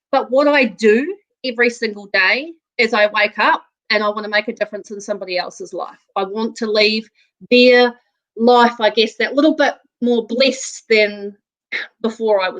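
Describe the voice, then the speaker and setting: The speaker is a woman with a New Zealand accent and a fairly high pitch. She keeps a moderate pace with ordinary pitch variation. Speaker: real estate agent. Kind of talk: interview.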